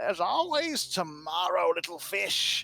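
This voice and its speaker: Using a put-on character voice, a man talks at a moderate pace in a shrill, high register. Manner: disappointed, taunting.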